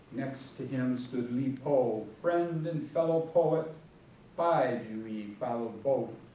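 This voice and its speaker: A man speaks with lively intonation in an American accent. Noticeable background noise runs under his voice. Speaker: poet. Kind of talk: poetry reading. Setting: church hall, live audience.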